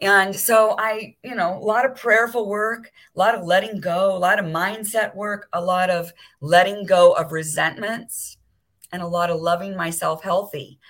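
An American woman speaks at a moderate pace and a medium pitch. Her loudness swings widely. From Southern California (Beverly Hills). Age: 60s. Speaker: wellness concierge and entrepreneur. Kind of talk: interview conversation.

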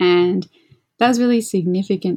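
A woman speaks with an Australian accent. Her tone is dark and mellow. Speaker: composer. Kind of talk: casual chat.

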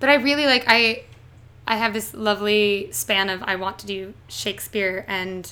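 With a Canadian accent, a woman speaks in a bright, sharp tone with ordinary pitch variation. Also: medium pitch for a woman, moderate pace. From southern Ontario, Canada. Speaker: theatre actress. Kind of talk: casual interview.

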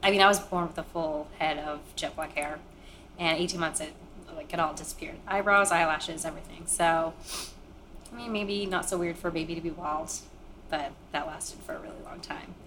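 With an American accent, a woman in a fairly low pitch talks at a fairly quick pace with long, frequent pauses, fairly even intonation and big swings in loudness over noticeable background noise. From Maine, US. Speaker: interviewee sharing life story. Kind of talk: personal testimony.

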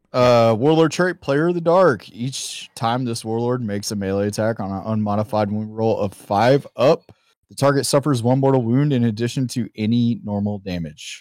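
Hardly pausing, a man speaks with a Southern US accent, medium pitch and ordinary pitch variation, his loudness swinging widely. The recording is very clean, with a silent background. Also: moderate pace. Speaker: tabletop gaming guest.

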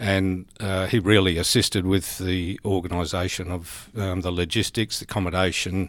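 A man with an Australian accent, very deep and low in pitch, monotone and flat, at a moderate pace. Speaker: senior police officer. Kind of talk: interview.

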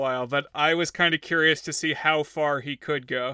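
With a normal speaking voice, a man talks at a fairly high pitch and keeps his intonation fairly even. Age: 30s. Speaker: podcast co-host. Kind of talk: casual chat.

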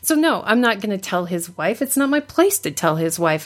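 Very wide pitch swings run through this woman's fairly high voice. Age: 40s. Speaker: blogger. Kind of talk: casual chat.

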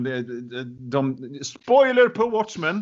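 This is a man speaking. His pace is very slow. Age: 40s. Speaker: book podcast co-host. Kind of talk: casual chat. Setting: small room, former caretaker's bunker. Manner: halting, repeats words.

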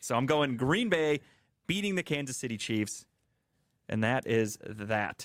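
A man with a medium-pitched voice speaks at a fairly slow pace, his lively intonation broken up by long, frequent pauses. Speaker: podcast host. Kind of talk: casual sports banter. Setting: radio station studio.

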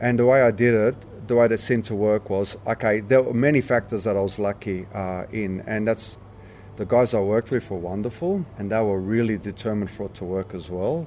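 A man with an Australian accent speaks at a fairly quick pace, his fairly low pitch moving with ordinary variation. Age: 50s. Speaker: punk musician. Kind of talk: interview. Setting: backstage at a pub.

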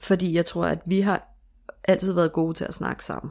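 A woman with a fairly low pitch and vocal fry, at a fairly slow pace. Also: very clean recording, silent background. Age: 30s. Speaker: stepmother sharing her story. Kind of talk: interview. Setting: home bedroom studio.

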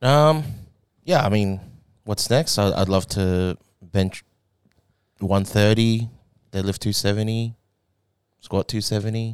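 In an Australian accent, a man speaks slowly with long, frequent pauses at a fairly low pitch with ordinary pitch variation. The recording is very clean, with a silent background. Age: 20s. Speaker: powerlifter coached by the hosts. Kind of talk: casual chat.

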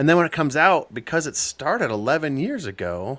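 In a very clean recording with a silent background, a man uses a normal speaking voice, moving at a fairly quick pace with lively intonation. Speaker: podcast co-host. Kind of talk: casual chat.

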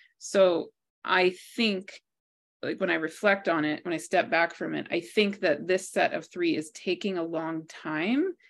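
Over a quiet background, a woman with an American accent uses a normal speaking voice, fairly low in pitch, at a fairly slow pace with fairly even intonation. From multinational childhood: Bangladesh, Pakistan, Kenya, US (DC area). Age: 40s. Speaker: author and astrologer. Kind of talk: interview conversation.

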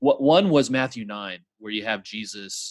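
An ordinary speaking voice from a man with an American accent, lively intonation and a moderate pace. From Midland, Texas. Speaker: podcast co-host. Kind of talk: casual chat. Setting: video call.

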